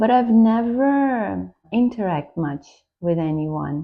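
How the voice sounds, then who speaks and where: Lively intonation with a Brazilian Portuguese accent. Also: woman. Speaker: tarot YouTuber. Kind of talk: casual vlog introduction. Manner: slightly halting.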